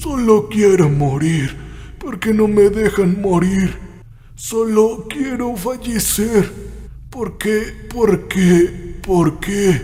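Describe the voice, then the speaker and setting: Over light background noise, a man puts on a hoarse, high-pitched character voice and speaks at a very slow pace. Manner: desperate, repetitive murmuring.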